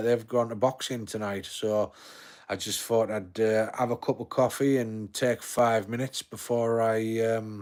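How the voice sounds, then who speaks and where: In a Yorkshire accent, a man talks at a moderate pace and medium pitch with monotone, flat intonation. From Yorkshire, northern England. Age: 40s. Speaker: live streamer. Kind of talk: casual chat. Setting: home living room. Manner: halting.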